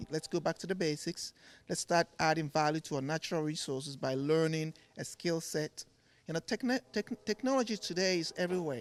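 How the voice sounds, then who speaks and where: A man with a Ghanaian accent and a fairly high pitch talks at a fairly quick pace with ordinary pitch variation. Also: dry, close sound with no echo, very clean recording, silent background. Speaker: furniture maker. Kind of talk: TV interview. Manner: repeats words, halting starts.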